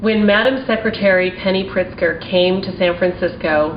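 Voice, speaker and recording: Moderate pace from a woman with an American accent at medium pitch, with noticeable background noise. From Maryland, with childhood in Taiwan and China. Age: 40s. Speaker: small business owner. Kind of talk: testimony. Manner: formal.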